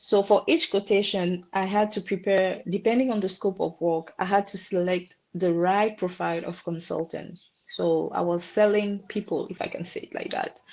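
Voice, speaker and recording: With a French accent, a woman at medium pitch talks at a moderate pace with fairly even intonation and hardly any pauses against a quiet background. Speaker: marketing professional. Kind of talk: career talk webinar. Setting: webinar. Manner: halting.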